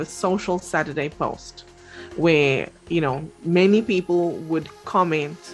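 With faint music in the background, a woman with a fairly low pitch talks at a fairly slow pace and fairly even intonation. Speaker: talk show guest. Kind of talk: interview answer. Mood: relaxed, conversational. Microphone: video call.

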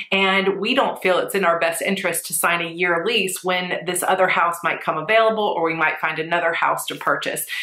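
A woman talks at a fairly quick pace. Audible room echo surrounds her voice. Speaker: planner vlogger. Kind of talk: casual vlog chat. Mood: stressed but composed. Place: home room.

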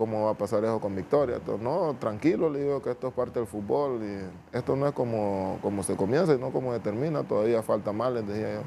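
A man with a Honduran accent talks at a fairly quick pace with hardly any pauses. His medium-pitched voice has a dark, mellow tone, with light background noise behind it. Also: ordinary pitch variation. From Honduras, Nueva Armenia; Honduras. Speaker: footballer; guest. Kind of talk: interview. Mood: calm, reflective. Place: studio. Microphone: lapel.

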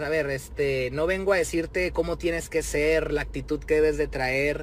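A man speaks at a moderate pace with a Mexican accent. The sound is dry with no echo, over light background noise. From Mexico. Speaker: rapper. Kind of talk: direct-to-camera video message. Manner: animated. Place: car. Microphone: phone near.

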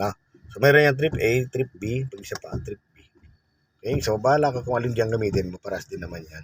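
At a fairly quick pace, a man speaks at a medium pitch with ordinary pitch variation, somewhat breathy, with big swings in loudness and a dry, close sound with no echo. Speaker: driving instructor. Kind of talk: tutorial. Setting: in a car.

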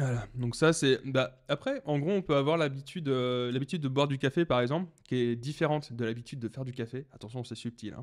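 Man at a fairly quick pace with hardly any pauses, ordinary pitch variation and a quiet background. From Brittany, France. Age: 20s. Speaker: podcaster and entrepreneur; podcaster. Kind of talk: casual solo podcast monologue. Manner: halting, many fillers and restarts. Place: home room. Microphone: studio mic.

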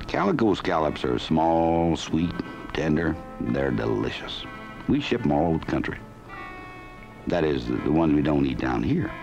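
A man with a very deep, low pitch speaks with long, frequent pauses over clear music in the background. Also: ordinary pitch variation, moderate pace. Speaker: film narrator in character as fisherman. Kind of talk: folksy documentary narration.

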